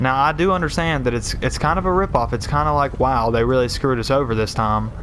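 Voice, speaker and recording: Noticeable background noise sits behind a man speaking at a very fast pace. His voice holds a medium pitch with ordinary pitch variation. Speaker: gaming YouTuber. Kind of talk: live gameplay commentary rant. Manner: casual, conversational.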